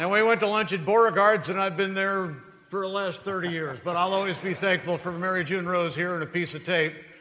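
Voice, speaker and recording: Noticeable background noise sits behind a man whose high pitch and warm tone come with fairly even intonation at a fairly quick pace. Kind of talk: live stage emcee address to banquet crowd. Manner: warm, conversational, hesitant with uh's, proud.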